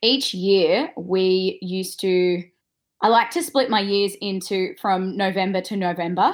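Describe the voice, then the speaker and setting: In an Australian accent, a woman speaks at a medium pitch with ordinary pitch variation. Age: 20s. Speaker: former Olympic snowboarder and yoga teacher. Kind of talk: interview.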